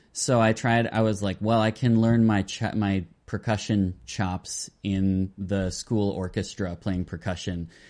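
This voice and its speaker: A normal speaking voice from a man with an American accent: fairly low pitch, fairly even intonation, a fairly slow pace with hardly any pauses, and a quiet background. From Minnesota. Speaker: indie rock musician. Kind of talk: interview.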